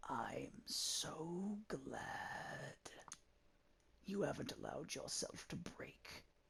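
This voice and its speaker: A raspy, put-on character voice. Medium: game stream. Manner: soft, intimate, knowing.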